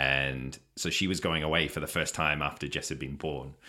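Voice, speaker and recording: A man speaks with an Australian accent. His tone is bright and sharp, with vocal fry. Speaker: podcast guest, stepfather and father. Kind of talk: casual chat.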